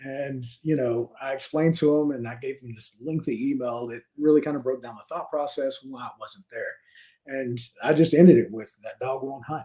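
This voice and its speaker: With a Louisiana accent, a man speaks at a medium pitch and moderate pace in a dark, mellow tone, his intonation fairly even while his loudness swings a lot. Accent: Louisiana Southern. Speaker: real estate investor and realtor. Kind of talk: casual interview conversation.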